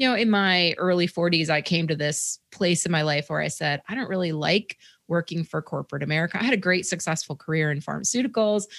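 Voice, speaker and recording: This woman's voice sits fairly low and carries vocal fry. Her pitch varies in an ordinary way, and the recording is very clean with a silent background. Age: 50s. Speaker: running and mindset coach. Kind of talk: interview.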